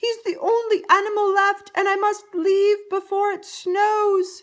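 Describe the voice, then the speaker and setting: In a put-on character voice, a woman speaks fairly slowly at an extremely high pitch. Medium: read story.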